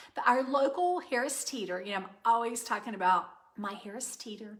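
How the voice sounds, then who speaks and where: This woman keeps a moderate pace. Her pitch variation is ordinary. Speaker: cooking channel host. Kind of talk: live stream chat and cooking demo. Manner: loud; casual with many fillers.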